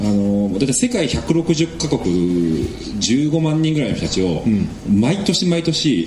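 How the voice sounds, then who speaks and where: Through noticeable background noise, a man at medium pitch talks at a very slow pace with very wide pitch swings and very even loudness. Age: 30s. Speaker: preventive medicine researcher. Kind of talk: casual chat.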